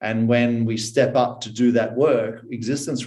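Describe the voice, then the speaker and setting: Somewhat breathy and dark, mellow in tone, the voice comes at a fairly slow pace with an Australian accent and audible room echo. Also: man. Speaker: personal development mentor. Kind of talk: podcast interview.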